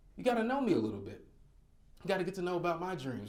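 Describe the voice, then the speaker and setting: Against audible room echo, a man with an American accent talks at a very fast pace. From North Carolina. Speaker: motivational speaker. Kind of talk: keynote speech. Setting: stage with audience. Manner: animated.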